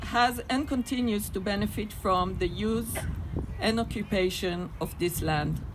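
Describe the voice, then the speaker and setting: Through noticeable background noise, a woman talks at a moderate pace. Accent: Israeli. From Israel. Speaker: activist speaker at a peace rally. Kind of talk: rally speech.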